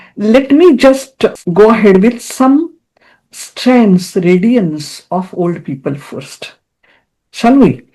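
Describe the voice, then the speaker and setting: Over a quiet background, a woman with a somewhat breathy, dark, mellow tone speaks very slowly in a fairly high pitch marked by very wide swings. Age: 70s. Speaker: psychologist. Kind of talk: interview.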